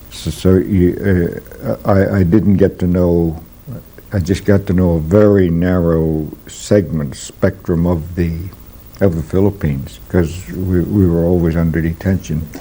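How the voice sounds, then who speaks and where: A man with an American accent speaks fairly slowly. His very deep, low voice keeps a fairly even intonation. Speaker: Jesuit priest. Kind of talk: interview. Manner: halting, many fillers.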